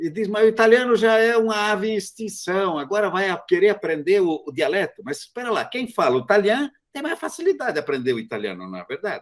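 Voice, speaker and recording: A man's high-pitched voice at a very fast pace, with very wide pitch swings and hardly any pauses. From southern Brazil, Italian immigrant community. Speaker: magazine interviewer, moderator. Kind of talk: panel discussion.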